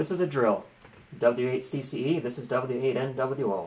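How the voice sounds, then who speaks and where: At a moderate pace, a man talks. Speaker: ham radio operator. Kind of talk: radio procedure talk and commentary. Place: home room.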